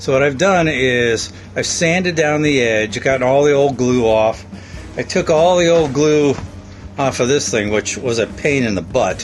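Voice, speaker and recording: Male voice at medium pitch with lively intonation, moderate pace and very even loudness, music in the background. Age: 60s. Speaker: sailing vlogger living aboard a boat. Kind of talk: casual vlog talk to camera.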